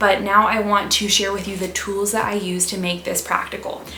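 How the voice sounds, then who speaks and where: Noticeable background noise and audible room echo around a woman's voice. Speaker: health and wellness youtuber. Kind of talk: casual educational vlog. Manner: fast; animated.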